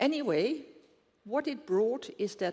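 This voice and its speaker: A woman talks with a Dutch accent at a moderate pace. Her pitch swings very widely. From Netherlands. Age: 70s. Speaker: doctor and health researcher. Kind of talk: conference talk. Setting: stage with audience.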